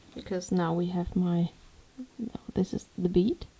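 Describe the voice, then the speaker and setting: A woman with a German accent speaks at a fairly slow pace and a medium pitch, her voice somewhat breathy. Her intonation stays fairly even. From Germany. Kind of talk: tutorial. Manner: casual. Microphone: microphone placed poorly, moving-around sounds.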